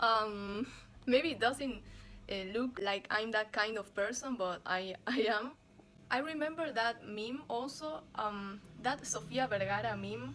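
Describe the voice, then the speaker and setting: With a Spanish accent, a woman speaks at a fairly slow pace in a fairly high pitch. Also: lively intonation. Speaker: vlogger. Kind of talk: casual vlog monologue. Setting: at home, bedroom. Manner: halting, many fillers; louder than usual.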